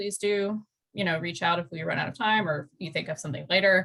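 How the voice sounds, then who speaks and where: The speaker is a woman. She talks at a fairly quick pace. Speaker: environmental program liaison. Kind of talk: presentation and Q&A in online meeting. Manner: fast.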